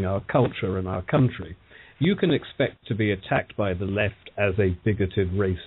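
Speaking at a moderate pace, a man with a British accent has a fairly low pitch. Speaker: political panelist. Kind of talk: radio panel discussion.

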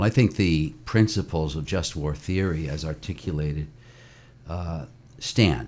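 A man with an American accent speaks fairly slowly in a very deep, low voice with vocal fry and ordinary pitch variation. The recording is very clean, with a silent background. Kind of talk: interview.

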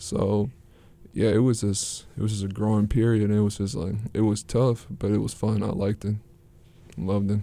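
A man's dark, mellow voice in an American accent, fairly low in pitch with fairly even intonation, at a moderate pace with long, frequent pauses. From US Midwest, Saint Paul, Minnesota. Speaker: college student athlete. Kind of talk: interview. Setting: studio.

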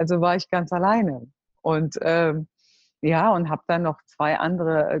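A woman's very deep, low voice. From Germany, Cologne. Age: 50s. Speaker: network marketing entrepreneur. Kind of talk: interview.

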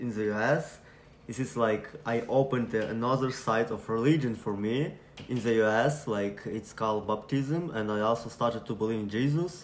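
Speaking at a fairly slow pace with a Ukrainian accent, a man keeps a medium pitch and fairly even intonation. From Ukraine. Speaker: refugee sharing his story. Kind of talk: personal testimony, recorded story. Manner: halting, searching for words.

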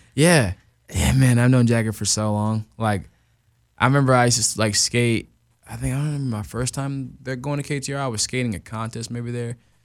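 Using a normal speaking voice with an American accent, a man talks at a fairly quick pace. His pitch variation is ordinary. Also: medium pitch for a man. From Arizona. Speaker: pro skateboarder. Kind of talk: casual interview.

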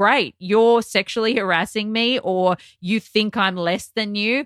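A woman with an Australian accent speaks at a fairly slow pace, her fairly high voice keeping a fairly even intonation. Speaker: television personality. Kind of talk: casual chat.

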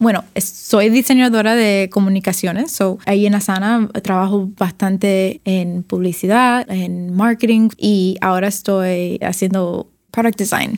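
A woman with a Cuban accent speaks at a fairly slow pace with hardly any pauses. Her pitch is medium and her intonation fairly even. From Miami, Cuban-American family. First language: English (speaking Spanish). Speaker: designer. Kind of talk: interview. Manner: halting, code-switching Spanglish.

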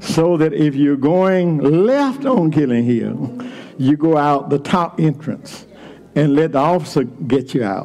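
With an American accent, a man speaks in an animated tone with ordinary pitch variation against noticeable background noise. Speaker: preacher. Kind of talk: sermon. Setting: church. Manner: animated, call-and-response preaching with repeated phrases; fervent, rhythmic, building to shouts.

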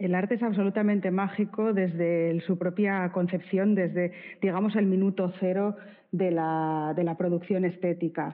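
Her loudness very even and her intonation monotone and flat, a woman speaks at medium pitch and a moderate pace. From Spain, Bilbao (Basque Country). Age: 40s. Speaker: art curator and critic. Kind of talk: interview conversation.

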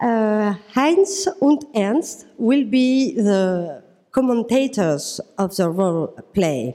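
Speaking very slowly with a French accent, a woman uses a fairly high pitch that swings very widely. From France. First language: French (speaking German). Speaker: psychiatrist. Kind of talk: workshop moderation. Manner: halting.

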